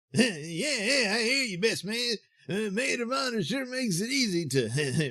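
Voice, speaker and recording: A man puts on a high-pitched character voice. He speaks at a moderate pace with very wide pitch swings. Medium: audio drama. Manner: stammering, hesitant.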